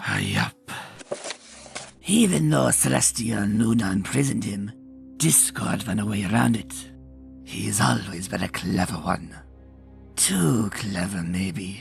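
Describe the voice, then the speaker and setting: Over clear background music, a man puts on a cartoonish character voice with a very deep, low pitch. He speaks at a fairly slow pace. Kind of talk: campfire ghost story. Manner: drawling, folksy.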